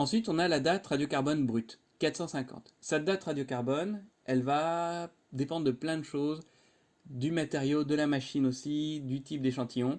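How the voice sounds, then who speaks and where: Pitch moves in a normal, ordinary range. The recording is very clean and the background silent. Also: man, fairly high pitch for a man. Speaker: university lecturer. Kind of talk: lecture. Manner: fast; casual.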